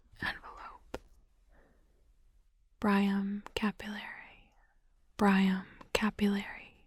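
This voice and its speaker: In a soft-spoken whisper with a soothing tone, the speaker talks at a very slow pace. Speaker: ASMR content creator. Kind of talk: ASMR roleplay, soft-spoken study-with-me session. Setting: binaural microphone recording, studio. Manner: soft-spoken, whispery, soothing, slow.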